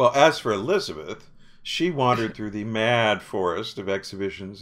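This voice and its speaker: A man with a plain, everyday voice, fairly low in pitch, at a moderate pace with lively intonation. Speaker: drama critic. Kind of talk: casual chat. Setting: video call.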